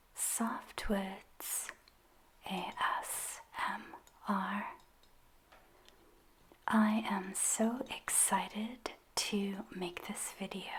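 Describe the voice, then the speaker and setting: Whispering at a very slow pace with long, frequent pauses, a woman speaks over noticeable background noise. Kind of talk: ASMR soft-spoken ramble about writing and books. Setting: close-mic studio ASMR recording. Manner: soft-spoken, whispered, slow.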